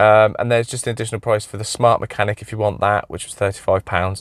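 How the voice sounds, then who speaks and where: A man with an English accent talks at a very fast pace in a medium pitch. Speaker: car mechanic YouTuber. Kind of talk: product review. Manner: casual, hesitant with many fillers.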